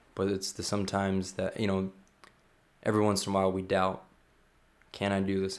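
A man with an American accent speaks at a fairly low pitch, leaving long, frequent pauses. The recording is very clean, with a silent background. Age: 20s. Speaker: youth pastor. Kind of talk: casual interview. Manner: halting.

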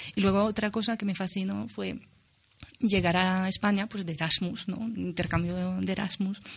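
Somewhat breathy and at a moderate pace, a woman talks with fairly even intonation. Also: medium pitch for a woman. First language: French (speaking Spanish). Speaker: university researcher of poetry. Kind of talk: radio interview.

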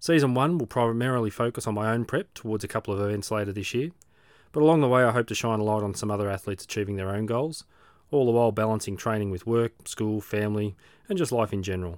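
A man with an Australian accent talks at a very fast pace, his pitch fairly low with ordinary variation. The recording is very clean, with a silent background. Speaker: podcast host, amateur triathlete. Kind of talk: scripted narration.

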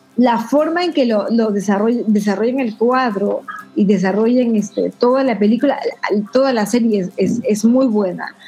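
With noticeable background noise behind her, a woman talks at a moderate pace in a fairly high voice with ordinary pitch variation. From Peru, Tacna. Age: 40s. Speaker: guest panelist. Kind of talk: casual chat.

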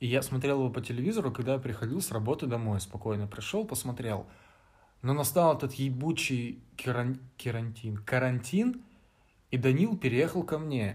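The voice is somewhat breathy, with ordinary pitch variation and long, frequent pauses. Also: man, medium pitch for a man, moderate pace. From Vladivostok, Russian Far East. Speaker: podcast co-host, student. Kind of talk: casual chat.

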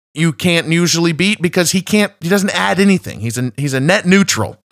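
With lively intonation and a fairly high pitch, a man talks at a moderate pace, his voice dry and close with no echo on a very clean recording with a silent background. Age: 30s. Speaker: football podcast host. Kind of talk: solo podcast commentary. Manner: halting with frequent repetitions.

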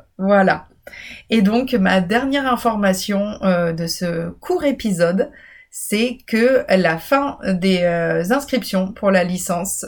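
In a very clean recording with a silent background, a woman of medium pitch talks at a very slow pace. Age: 30s. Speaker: university program director and podcast host. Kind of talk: informational solo podcast. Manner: hesitant with fillers.

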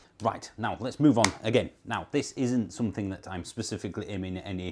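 A man's fairly low voice with a Yorkshire accent, ordinary pitch variation, and a very clean recording over a silent background. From Yorkshire, northern England. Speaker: YouTuber on electric cars. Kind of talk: casual talk to camera. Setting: on holiday, talking to camera.

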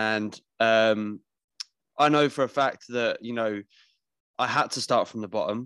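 This man speaks at a medium pitch and a fairly slow pace, his intonation fairly even. Long, frequent pauses break up the speech on a very clean recording with a silent background. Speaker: podcast host. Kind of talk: casual chat.

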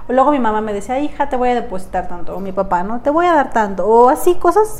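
Over noticeable background noise and audible room echo, a woman talks at a very fast pace with a high pitch and lively intonation. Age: 20s. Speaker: domestic violence survivor and amputee. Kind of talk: testimony.

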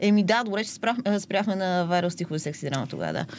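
This is an unremarkable speaking voice at a fairly quick pace. The pitch variation is ordinary. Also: woman. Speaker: social media poet. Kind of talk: casual interview.

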